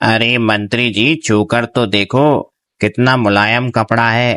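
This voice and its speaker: A man does a cartoonish character voice at a medium pitch and a fairly slow pace, with fairly even intonation. The recording is very clean with a silent background and a dry, close sound with no echo. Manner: flattering.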